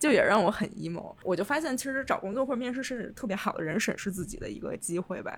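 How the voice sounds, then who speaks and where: The speech comes at a very fast pace with hardly any pauses. Intonation is lively, and background noise is noticeable. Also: woman, fairly high pitch for a woman. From China. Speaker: podcast host, urban designer. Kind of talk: casual chat.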